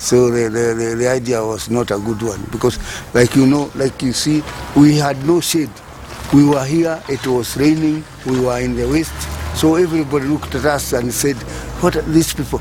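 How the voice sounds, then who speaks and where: Amid noticeable background noise, a man speaks at a moderate pace in a medium pitch with ordinary variation. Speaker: recycling cooperative founder. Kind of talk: interview testimony.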